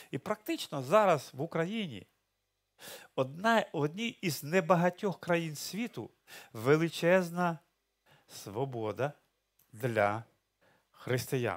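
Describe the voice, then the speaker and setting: A man speaks very slowly, with long, frequent pauses. His pitch swings very widely against a quiet background. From Ukraine. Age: 60s. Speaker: pastor. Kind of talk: sermon. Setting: church. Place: church. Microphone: headset.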